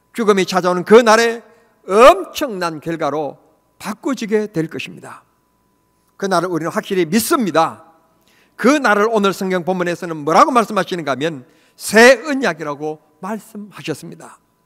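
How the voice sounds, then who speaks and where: A man's high voice for a man rises and falls with lively intonation and big swings in loudness. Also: moderate pace. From rural Korea. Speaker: pastor. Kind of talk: sermon.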